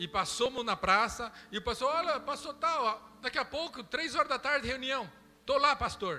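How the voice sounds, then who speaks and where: Over music in the background, a man uses a raised, projected voice at an extremely high pitch. His intonation is lively and his pace moderate. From Brazil. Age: 50s. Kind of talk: sermon.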